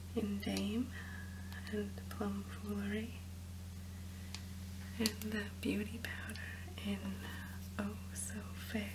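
Against noticeable background noise, the speaker is soft-spoken with a gentle tone. The pace is very slow, broken by long, frequent pauses. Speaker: beauty vlogger. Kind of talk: product haul presentation. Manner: soft-spoken gentle ASMR narration.

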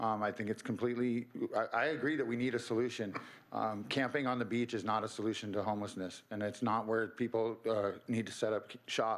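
Fairly quick and at medium pitch, a man with an American accent keeps his loudness very even and his intonation fairly even. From Santa Cruz, California; California. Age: 50s. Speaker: public commenter. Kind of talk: public comment. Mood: earnest, slightly emphatic. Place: hall. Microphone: podium.

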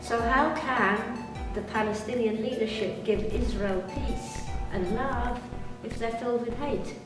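A woman talks at a fairly slow pace, with clear music in the background and audible room echo. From Britain. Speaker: tour guide and motivational speaker. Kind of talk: interview answer. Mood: earnest, serious. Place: home room.

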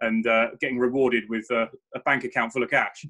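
Against a quiet background, a man speaks at a very fast pace with a bright, sharp tone. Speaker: chiropractor guest. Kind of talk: interview answer. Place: home room. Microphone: video call.

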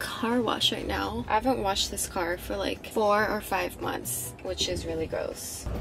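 A woman speaking at a fairly slow pace over faint music in the background. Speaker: vlogger. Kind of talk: casual vlog chat. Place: car. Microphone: phone near.

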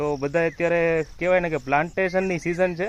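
It is an unremarkable speaking voice with ordinary pitch variation. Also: man. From Gujarat, India (Amreli district, Saurashtra). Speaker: farmer and video creator. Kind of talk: casual informational vlog.

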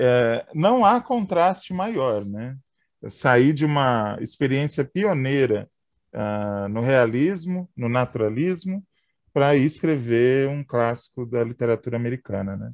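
A man's medium-pitched voice with lively intonation, very slow pace, dry, close sound with no echo and a quiet background. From São Paulo, Brazil. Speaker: podcast host. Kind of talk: casual chat.

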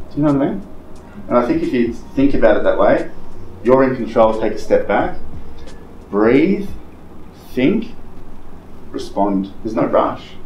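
Amid background music and audible room echo, a man speaks at a moderate pace. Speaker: real estate trainer. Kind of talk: coaching talk to colleagues. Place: meeting room. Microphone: camera far.

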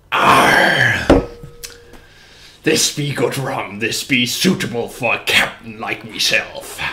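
In a put-on character voice, a man speaks very slowly with a fairly high pitch. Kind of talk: music quiz host in character.

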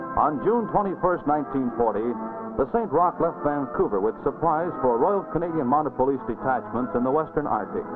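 Clear music is audible behind the voice. The delivery is fairly quick. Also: man. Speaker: documentary narrator. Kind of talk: documentary narration. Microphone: old recording.

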